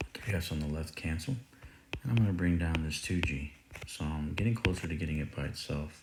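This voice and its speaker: A man talks at a fairly quick pace in a very deep, low pitch with ordinary variation. Noticeable background noise runs under him. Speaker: math teacher. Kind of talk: tutorial.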